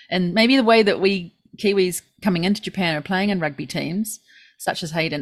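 In a New Zealand accent, a woman with a fairly low voice talks at a fairly quick pace. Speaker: podcast co-host. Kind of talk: casual chat. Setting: remote call.

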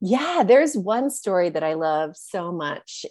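In a dry, close sound with no echo, a woman with an American accent speaks at a fairly slow pace, her dark, mellow tone carrying lively intonation. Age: 40s. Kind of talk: interview.

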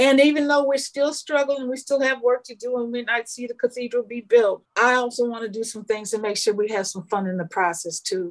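A woman with an American accent, high in pitch, at a fairly quick pace with hardly any pauses, ordinary pitch variation and big swings in loudness. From Minnesota. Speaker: film producer. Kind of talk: casual chat. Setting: studio. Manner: animated.

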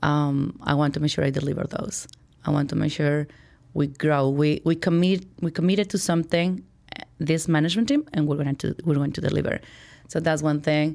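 Fairly even intonation in a Spanish accent, on a very clean recording with a silent background. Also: woman, very deep, low pitch for a woman, fairly quick pace. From Mexico, Chihuahua. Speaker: corporate vice president. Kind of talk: interview.

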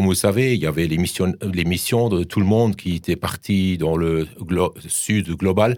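A man with a very deep, low pitch speaks at a very even loudness, with hardly any pauses. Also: ordinary pitch variation, moderate pace. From Germany. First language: German (speaking French). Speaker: professor. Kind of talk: radio interview. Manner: halting.

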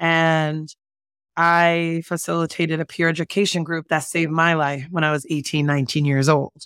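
At a moderate pace, a woman with a fairly low pitch speaks in an animated tone, the sound dry and close with no echo. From Jersey City, New Jersey. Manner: animated, laughs often.

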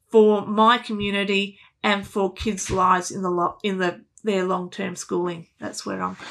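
A woman with an Australian accent speaks in a medium pitch and a bright, sharp tone, heard in a very clean recording with a silent background. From Canberra, Australia. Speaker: music teacher. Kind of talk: interview. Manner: animated.

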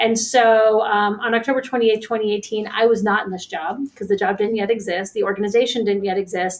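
A woman talks at a fairly quick pace with hardly any pauses. Hers is a plain, everyday voice with an American accent. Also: fairly high pitch for a woman, fairly even intonation. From Pittsburgh, Pennsylvania. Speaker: licensed counselor and nonprofit director. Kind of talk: interview.

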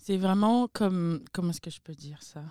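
On a very clean recording with a silent background and a dry, close sound with no echo, a woman speaks at a moderate pace in a dark, mellow tone, fairly low in pitch with ordinary pitch variation. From Republic of Congo, Pointe-Noire. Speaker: events coordinator. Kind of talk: casual chat.

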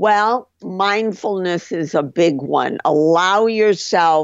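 A woman speaks in a fairly low voice. Her pace is very slow, with ordinary pitch variation. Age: 70s. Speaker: psychotherapist and author. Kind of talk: interview.

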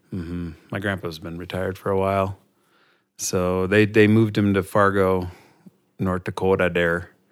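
Speaking in an Upper Midwest accent, a man with a very deep, low pitch keeps a moderate pace and a monotone, flat intonation. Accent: Upper Midwest American. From Minnesota, Minneapolis area. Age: 40s. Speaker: teacher. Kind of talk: casual chat.

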